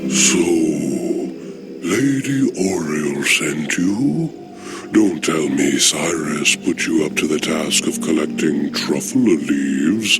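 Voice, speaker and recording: Amid loud background noise, a man puts on a character voice with a very deep, low pitch, going at a fairly slow pace. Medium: machinima. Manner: warm, knowing.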